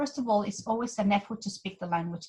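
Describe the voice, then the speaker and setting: A somewhat breathy woman's voice at medium pitch. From Mexico. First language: Spanish. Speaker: intercultural trainer. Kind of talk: webinar presentation.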